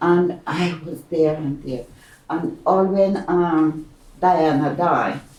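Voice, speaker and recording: The speaker goes at a very slow pace with fairly even intonation, and audible room echo surrounds the voice. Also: woman, fairly low pitch for a woman. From Jamaica. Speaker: pensioner. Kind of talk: oral history interview.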